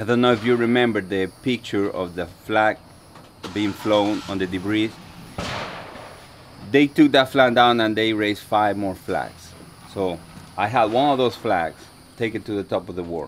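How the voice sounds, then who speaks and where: With a Dominican accent, a man speaks at a fairly slow pace in a fairly low pitch with ordinary pitch variation, long, frequent pauses and noticeable background noise. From Dominican Republic. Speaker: soldier and mountaineer. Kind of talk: motivational talk. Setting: talk to a group of veterans. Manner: halting, many fillers and repeats.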